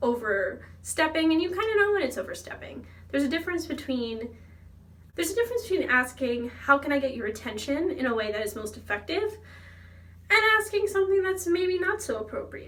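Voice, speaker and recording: Her pitch is high, swinging very widely as she talks at a fairly quick pace. The woman's tone is animated, and audible room echo surrounds her. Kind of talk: casual vlog monologue.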